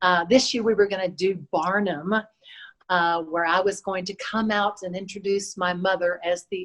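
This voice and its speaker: This woman has an unremarkable speaking voice, set at a medium pitch, with fairly even intonation and a moderate pace. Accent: American. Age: 60s. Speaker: dancer and fitness instructor. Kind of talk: interview.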